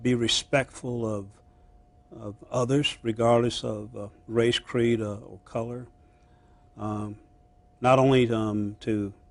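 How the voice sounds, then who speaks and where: A man speaks at a medium pitch in a monotone, flat intonation, with big swings in loudness. His pace is very slow, with long, frequent pauses. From US, army brat moving between bases. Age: 60s. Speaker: former county manager. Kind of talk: interview. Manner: halting, many filler sounds.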